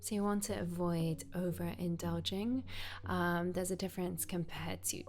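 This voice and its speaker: A woman speaks at a moderate pace. Behind her, music plays. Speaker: yoga teacher. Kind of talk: self-care advice talk to camera.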